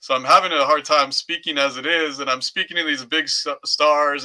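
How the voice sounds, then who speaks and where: A man with an American accent speaks in a fairly high pitch. His intonation is monotone and flat. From US, Southern California (Orange County). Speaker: podcast co-host and entertainment press reporter. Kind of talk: casual chat.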